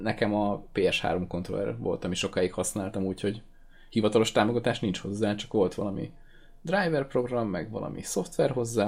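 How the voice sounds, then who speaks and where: Talking at a fairly quick pace, a man with a fairly low pitch has an unremarkable speaking voice. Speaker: gaming podcast host. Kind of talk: casual chat.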